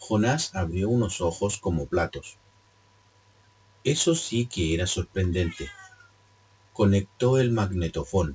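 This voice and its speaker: Very slow speech broken by long, frequent pauses. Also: man, fairly low pitch for a man. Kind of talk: read story. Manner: occasional stumbles and self-corrections.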